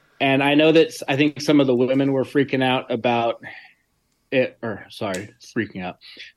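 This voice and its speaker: With a normal speaking voice, a man delivers his words at a moderate pace, his medium pitch moving with ordinary pitch variation. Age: 40s. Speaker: general contractor and weightlifter, co-host. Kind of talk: casual chat.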